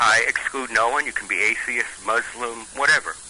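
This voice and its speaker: The speaker talks at a moderate pace amid noticeable background noise. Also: man. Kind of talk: phone interview. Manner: halting.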